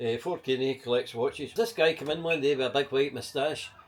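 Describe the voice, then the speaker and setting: A man with a Glaswegian accent, medium pitch, very fast pace. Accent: Glaswegian Scottish. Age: 70s. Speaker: market trader and protester. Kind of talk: casual interview chat.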